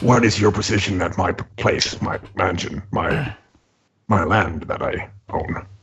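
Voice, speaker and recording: In a put-on character voice, a man sounds raspy, with a fairly low pitch and a fairly slow pace. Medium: actual play. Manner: haughty, formal.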